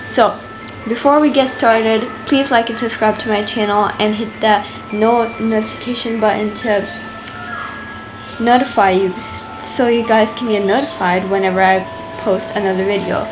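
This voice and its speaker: A woman with a fairly high voice talks at a moderate pace with fairly even intonation and long, frequent pauses. Music plays in the background, and the room echo is audible. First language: not English. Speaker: YouTuber telling horror stories. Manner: halting, self-correcting.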